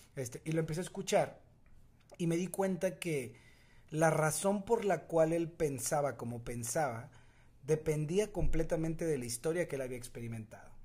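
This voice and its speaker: A man with a Mexican accent speaks at a moderate pace and a fairly high pitch, his tone dark and mellow, with ordinary pitch variation. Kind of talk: casual chat.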